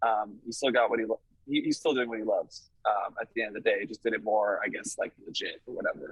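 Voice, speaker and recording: A man with a slight Canadian accent talking at a very fast pace with hardly any pauses. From Canada, Toronto area (Vaughan). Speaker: rock musician. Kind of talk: casual interview. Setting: video call from a touring van. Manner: hesitant, many fillers.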